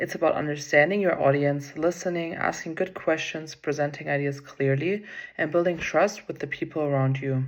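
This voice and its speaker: A woman's very deep, low voice with a non-native accent, ordinary pitch variation and a moderate pace. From outside the US. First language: not English. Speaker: graduate student and volleyball player. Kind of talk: class presentation. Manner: prepared, read-aloud delivery.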